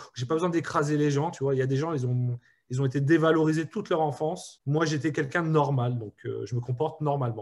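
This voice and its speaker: A man talks at a fairly quick pace in a fairly high pitch, sounding somewhat breathy. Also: very clean recording, silent background. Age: 30s. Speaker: startup CEO, entrepreneur. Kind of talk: interview. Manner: hesitant, many fillers.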